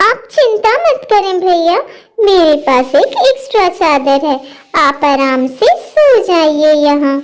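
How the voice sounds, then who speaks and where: A woman does a cartoonish character voice, squeaky and extremely high-pitched, with very wide pitch swings at a fairly slow pace. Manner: warm, polite.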